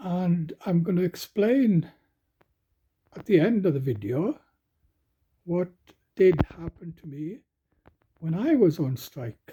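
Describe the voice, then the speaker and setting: Speaking very slowly with long, frequent pauses, a man with a Welsh accent uses a high pitch, lively intonation, a dark, mellow tone and big swings in loudness. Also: dry, close sound with no echo. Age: 70s. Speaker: retired coal miner. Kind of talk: casual talk to camera.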